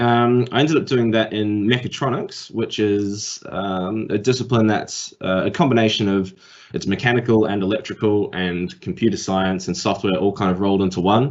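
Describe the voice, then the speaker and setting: A man with a New Zealand accent, fairly low in pitch with ordinary variation, at a moderate pace with hardly any pauses. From New Zealand, Auckland. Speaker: tech industry speaker. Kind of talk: career talk. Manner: hesitant, many fillers.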